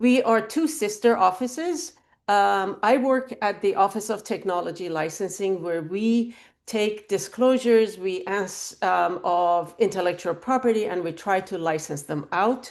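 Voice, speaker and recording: Here is a woman with a plain, everyday voice at medium pitch. She speaks at a fairly slow pace with lively intonation against a quiet background. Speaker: university technology licensing director. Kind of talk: webinar talk. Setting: video call. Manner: interactive, informal.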